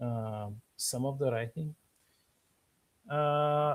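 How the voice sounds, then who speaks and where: A man at medium pitch with a Bulgarian accent and fairly even intonation, in a dry, close sound with no echo. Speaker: author. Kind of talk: casual chat. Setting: live stream. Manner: halting, many fillers.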